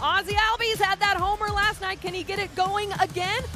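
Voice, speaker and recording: With music in the background, a woman uses a raised, projected voice at an extremely high pitch, sounding energetic and enthusiastic at a fairly quick pace. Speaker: sports director and television host. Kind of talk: upbeat baseball pregame host. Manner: energetic, enthusiastic.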